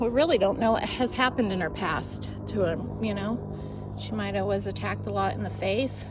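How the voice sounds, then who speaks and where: Soft-spoken delivery comes through with audible room echo. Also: woman. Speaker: burro trainer on a ranch. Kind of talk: casual instructional narration while working with animals.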